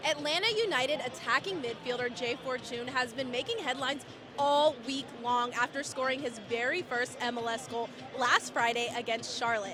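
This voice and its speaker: A woman with a high voice speaks at a moderate pace and with fairly even intonation, with music playing in the background. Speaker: sports reporter. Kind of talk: TV sports broadcast report.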